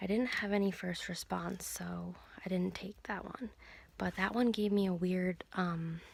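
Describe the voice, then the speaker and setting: A quiet, somewhat breathy woman at medium pitch, with fairly even intonation and a fairly slow pace. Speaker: video blogger. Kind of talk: personal video diary. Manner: quiet, hushed.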